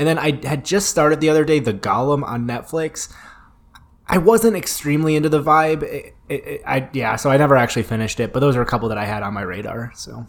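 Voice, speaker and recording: Over noticeable background noise, a man talks at a very fast pace with a fairly high pitch and lively intonation. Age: 20s. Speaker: podcast host reviewing horror movies. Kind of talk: casual chat.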